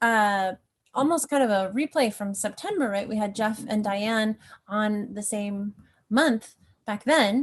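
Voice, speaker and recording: Quiet background behind a woman with a fairly high pitch and ordinary variation. She is somewhat breathy and talks at a fairly slow pace. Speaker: show host. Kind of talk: casual live-stream host introduction.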